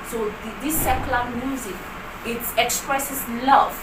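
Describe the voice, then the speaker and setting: A woman with a Nigerian accent, high in pitch and moderate in pace, with audible room echo and noticeable background noise. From northern Nigeria. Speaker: writer and speaker. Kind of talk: interview. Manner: halting.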